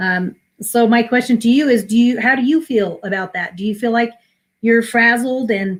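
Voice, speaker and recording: With an ordinary speaking voice, a woman talks at a fairly high pitch with ordinary pitch variation. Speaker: minister and spiritual coach. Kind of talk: inspirational talk.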